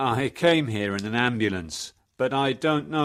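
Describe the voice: Someone does plain reading aloud while the background stays quiet.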